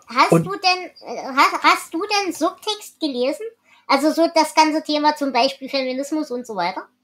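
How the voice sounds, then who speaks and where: The intonation is lively. It comes from a woman with a high pitch. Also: moderate pace. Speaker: podcast host. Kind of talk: casual book discussion.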